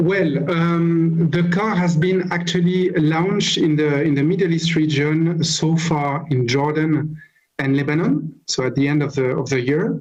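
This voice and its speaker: Speech in a strong French accent at a fairly slow pace, with very even loudness, fairly even intonation and audible room echo. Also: man, fairly high pitch for a man. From France. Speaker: car company manager. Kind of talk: interview. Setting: video call. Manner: halting.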